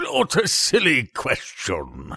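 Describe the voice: Slowly, a man puts on a character voice that is bright and sharp, slightly husky, with vocal fry and very wide pitch swings. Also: medium pitch for a man, very clean recording, silent background.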